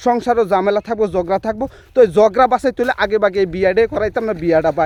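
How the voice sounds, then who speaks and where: The man's voice sits at a high pitch, with a dry, close sound and no echo. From Bangladesh, Sunamganj (Sylhet region). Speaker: village storyteller vlogger. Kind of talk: humorous storytelling.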